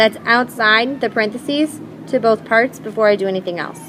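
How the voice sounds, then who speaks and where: A woman with a fairly high pitch and ordinary pitch variation, at a moderate pace, over noticeable background noise. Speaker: math teacher. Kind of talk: tutorial.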